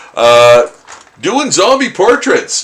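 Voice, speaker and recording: Noticeable background noise sits behind a man talking at a very slow pace. His pitch is fairly high and swings very widely. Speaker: artist live-streaming drawing. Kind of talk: casual live stream chat while drawing. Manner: halting, many fillers.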